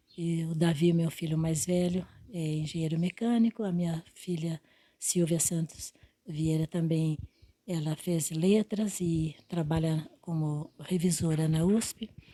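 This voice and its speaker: A woman's fairly low, somewhat breathy voice with a dark, mellow tone, fairly even intonation and a very slow pace. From Brazil, interior of São Paulo state (Quintana). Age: 80s+. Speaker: retired teacher. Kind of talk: interview. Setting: at home. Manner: halting.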